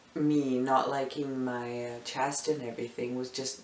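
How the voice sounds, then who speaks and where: A man talks at a fairly slow pace, and audible room echo can be heard around him. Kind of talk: casual talk to camera. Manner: hesitant, casual. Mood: reflective, lightly joking. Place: home room. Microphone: camera far.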